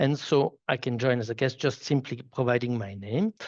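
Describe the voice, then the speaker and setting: Against a quiet background, a man with a Swiss French accent talks at a fairly quick pace with fairly even intonation. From French-speaking Switzerland. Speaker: solution architect presenting a software demo. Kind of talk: live product demo. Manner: halting, many repetitions and fillers.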